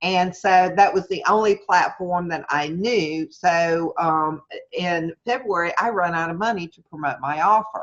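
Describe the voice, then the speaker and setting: Speaking with a Southern US accent, a woman talks at a fairly slow pace with hardly any pauses, her fairly low pitch showing ordinary variation. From US South, Mississippi. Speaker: online marketing coach. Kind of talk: webinar lecture. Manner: casual, hesitant with fillers; straightforward.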